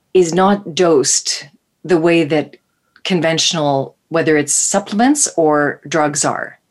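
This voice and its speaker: A woman's fairly low voice with ordinary pitch variation, an ordinary speaking voice, at a fairly slow pace. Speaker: naturopathic doctor and co-host. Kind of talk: interview. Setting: live radio show, remote.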